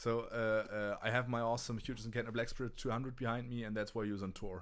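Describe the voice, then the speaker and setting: In a German accent, a man talks very fast at a medium pitch in a flat monotone. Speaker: touring guitarist and gear show host. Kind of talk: casual livestream chat. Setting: livestream. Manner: halting, many restarts.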